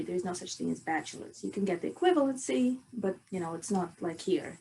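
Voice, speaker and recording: A woman's medium-pitched voice with a Russian accent at a fairly quick pace. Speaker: chemical engineering student and researcher. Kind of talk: podcast interview.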